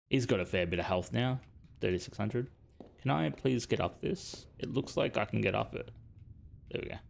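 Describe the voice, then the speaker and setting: With vocal fry and a very deep, low pitch, a man talks at a fairly quick pace, his pitch swinging very widely between long, frequent pauses. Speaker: gaming streamer. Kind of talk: let's play commentary. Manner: mumbling, under breath; speaks through gritted teeth.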